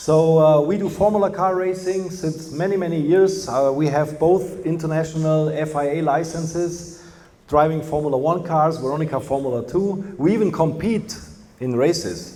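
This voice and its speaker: A man speaks at a moderate pace with a Bavarian accent, his pitch fairly high. The recording has audible room echo and noticeable background noise. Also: fairly even intonation. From Germany, Bavaria. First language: German. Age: 50s. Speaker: company representative. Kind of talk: lecture.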